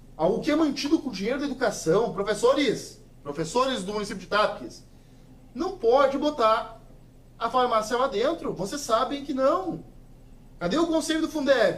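A man speaks at an extremely high pitch with lively intonation. His pace is moderate. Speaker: local politician. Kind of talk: interview. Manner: forceful.

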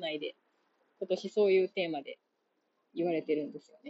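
A woman speaks with long, frequent pauses and big swings in loudness. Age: 30s. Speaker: podcast host. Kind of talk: solo monologue. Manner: casual, halting with fillers.

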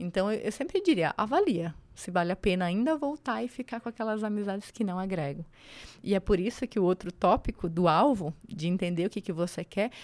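With lively intonation and a fairly quick pace, a woman at medium pitch is captured in a very clean recording with a silent background and a dry, close sound with no echo. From Santa Catarina, Brazil (Serra, near Lages). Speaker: construction entrepreneur and mentor. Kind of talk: podcast interview.

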